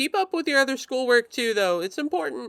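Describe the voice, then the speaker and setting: This is a put-on character voice with a high pitch and very wide pitch swings. It moves at a fairly quick pace. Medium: actual play. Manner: hesitant, full of ums.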